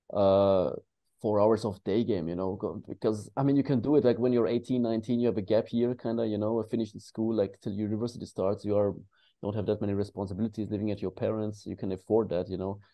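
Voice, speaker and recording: Speaking at a very fast pace, a man with a non-native accent keeps a fairly low pitch and fairly even intonation. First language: not English. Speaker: dating coach. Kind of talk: panel discussion. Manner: halting.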